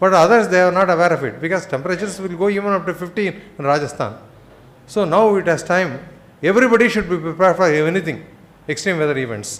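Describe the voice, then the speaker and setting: Talking very fast, a man with a high pitch and ordinary pitch variation is heard with audible room echo. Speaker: conference speaker on climate science. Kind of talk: lecture.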